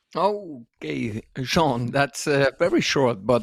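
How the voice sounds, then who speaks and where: Speaking at a very slow pace with a Dutch accent, a man at medium pitch swings very widely in pitch, recorded with a dry, close sound and no echo. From Netherlands. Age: 50s. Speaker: dance school owner and podcast co-host. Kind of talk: casual interview. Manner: halting.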